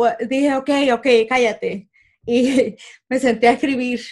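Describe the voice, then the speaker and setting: Her voice sits high for a woman, with ordinary pitch variation. She speaks at a very slow pace. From Puerto Rico. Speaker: comedian and aerospace engineer. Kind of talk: interview.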